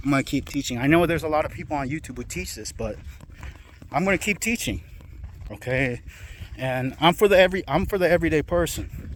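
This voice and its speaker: With vocal fry and a fairly high pitch, a man speaks very fast with lively intonation, broken up by long, frequent pauses. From South Korea. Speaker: self-publishing entrepreneur. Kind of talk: casual pitch monologue. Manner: halting, self-correcting; casual, filler words.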